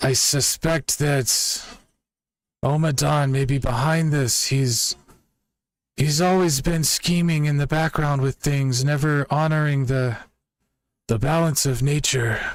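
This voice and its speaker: With long, frequent pauses, the speaker uses a put-on character voice at a fairly slow pace. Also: man, fairly high pitch for a man. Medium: actual play.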